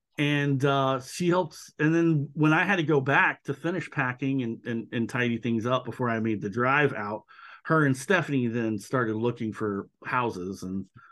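A man with an American accent talks at a medium pitch and a moderate pace in a normal speaking voice. His pitch variation is ordinary, and the background is quiet. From US South, Georgia (Macon). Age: 40s. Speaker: artist and podcaster. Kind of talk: casual chat.

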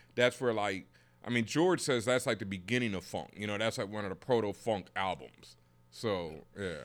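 With an American accent, a man uses a plain, everyday voice at a fairly low pitch and lively intonation. He keeps a moderate pace in a very clean recording with a silent background. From Houston, Texas. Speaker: DJ and podcaster. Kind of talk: casual chat.

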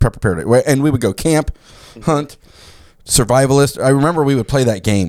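In a very clean recording with a silent background and a dry, close sound with no echo, a man talks in an animated tone. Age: 40s. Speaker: preparedness podcast host. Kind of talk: casual chat. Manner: animated, laughing often.

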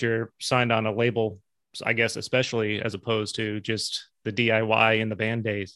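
In an ordinary speaking voice, a man with an American accent talks at a fairly quick pace and a medium pitch. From upstate New York (Capital District, Albany area). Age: 30s. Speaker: podcast host. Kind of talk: casual interview. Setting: remote call.

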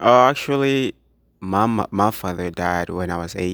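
The speaker is a man. He talks with an East African accent. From Tanzania. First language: Swahili. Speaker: business student. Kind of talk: interview.

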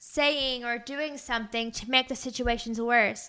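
A woman with a high pitch uses a raised, projected voice and a bright, sharp tone, speaking at a fairly slow pace with fairly even intonation. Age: 20s. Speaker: pastor and podcast host. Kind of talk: casual religious talk.

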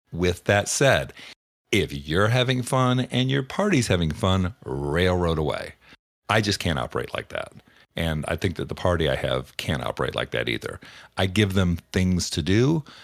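On a very clean recording with a silent background, a man with a very deep, low pitch and vocal fry speaks at a moderate pace with very wide pitch swings. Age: 50s. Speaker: game master and podcast host. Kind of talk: solo podcast monologue. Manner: casual, with fillers.

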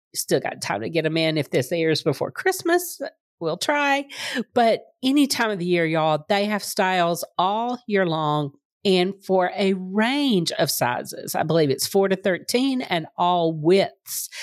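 A woman at medium pitch moves through very wide pitch swings at a fairly slow pace. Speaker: podcast host. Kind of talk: casual chat.

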